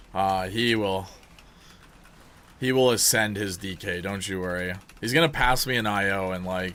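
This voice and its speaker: A man with a Canadian accent, fairly low pitch, an animated tone, ordinary pitch variation and a moderate pace. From Canada. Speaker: video game streamer. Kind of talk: live gameplay commentary.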